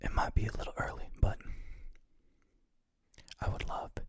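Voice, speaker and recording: Someone is whispering. The pace is moderate. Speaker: ASMR creator, graphic designer. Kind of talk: ASMR design session narration. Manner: whispered, quiet.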